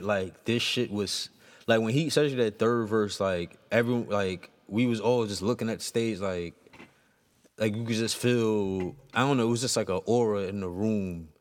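A man at medium pitch, speaking at a moderate pace. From Queens, New York City. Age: 30s. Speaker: battle rap podcast co-host. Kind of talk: casual chat.

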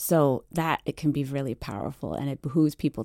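A woman with a very deep, low pitch and a dark, mellow tone speaks with vocal fry, the sound dry and close with no echo on a very clean recording with a silent background. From Washington DC and Virginia Beach. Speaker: cartographer. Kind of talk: radio interview.

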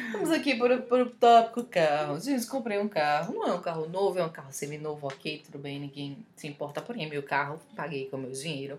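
A woman speaks with a very deep, low pitch, very wide pitch swings and big swings in loudness. She goes at a fairly quick pace with hardly any pauses. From Recife, Brazil. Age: 20s. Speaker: podcast co-host. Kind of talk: casual chat.

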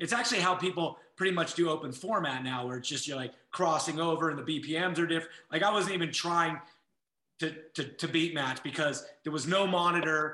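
This man's voice sits high in pitch and carries a bright, sharp tone. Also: ordinary pitch variation, fairly quick pace. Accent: American. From Los Angeles (Westside, Sepulveda area). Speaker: DJ and music producer. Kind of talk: casual interview chat.

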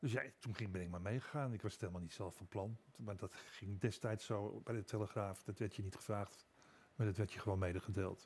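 A man speaks at a fairly quick pace with a somewhat breathy voice and fairly even intonation. The recording is very clean, with a silent background. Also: fairly low pitch for a man. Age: 70s. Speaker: newspaper columnist. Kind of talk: casual chat.

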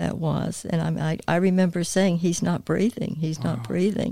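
A woman talks in a North Carolina accent. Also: dry, close sound with no echo. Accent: Southern US (North Carolina). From US South, High Point, North Carolina. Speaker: church staff assistant. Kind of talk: interview testimony. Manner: talkative.

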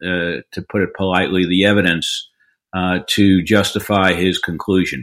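A man with a New York accent. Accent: New York American. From New York, Long Island. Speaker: defense lawyer. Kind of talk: interview. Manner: halting, many fillers.

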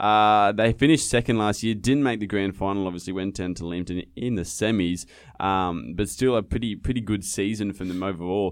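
The voice runs on with hardly any pauses and ordinary pitch variation. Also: man, fairly low pitch for a man, fairly quick pace. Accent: Australian. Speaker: podcast host. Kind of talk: casual chat.

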